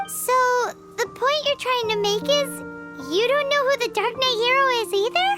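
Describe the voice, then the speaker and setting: An extremely high, put-on character voice at a moderate pace, with long, frequent pauses and clear music in the background. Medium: video game. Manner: chatty, expressive.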